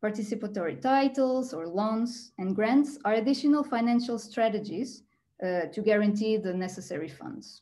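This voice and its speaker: Using a Portuguese accent, a woman talks at a moderate pace in a fairly high, somewhat breathy voice with lively intonation and big swings in loudness. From Portugal. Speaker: architect and PhD researcher. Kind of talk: presentation. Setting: video call. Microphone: video call.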